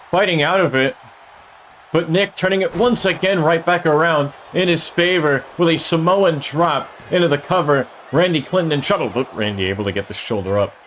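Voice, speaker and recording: The voice has lively intonation. Noticeable background noise can be heard. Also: man, long, frequent pauses, very even loudness. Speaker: streamer commentating a video game wrestling show. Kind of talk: live commentary. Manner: loud; animated.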